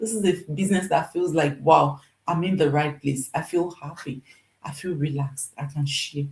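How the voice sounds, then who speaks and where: At a moderate pace, a woman speaks with a somewhat breathy voice and ordinary pitch variation. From Nigeria. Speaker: nurse and online business coach. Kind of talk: live stream sales pitch. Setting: livestream. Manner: emphatic, repetitive.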